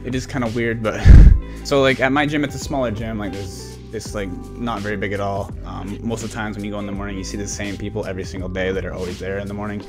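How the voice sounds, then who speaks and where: Over clear music in the background, a man with a fairly low pitch talks at a very fast pace with hardly any pauses and ordinary pitch variation. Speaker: lifestyle youtuber. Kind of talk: casual vlog chat. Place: home room. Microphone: studio mic.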